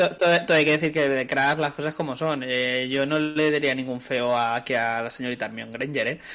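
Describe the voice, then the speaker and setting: A man talks at a fairly quick pace with hardly any pauses. His voice is fairly high and has a bright, sharp tone, and his intonation is fairly even. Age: middle-aged. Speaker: podcast co-host. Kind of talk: casual chat.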